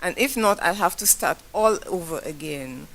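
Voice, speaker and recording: A woman with a Saint Lucian accent and ordinary pitch variation. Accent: Saint Lucian accent, AI fails to recognize it. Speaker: business owner, audience member at forum. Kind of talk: audience question at public forum. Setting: forum hall with audience. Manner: halting, self-correcting.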